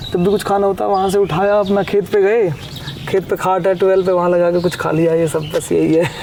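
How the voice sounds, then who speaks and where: Over noticeable background noise, the voice runs in a flat monotone at a very even loudness. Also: man, high pitch for a man. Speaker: rapper. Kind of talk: casual interview.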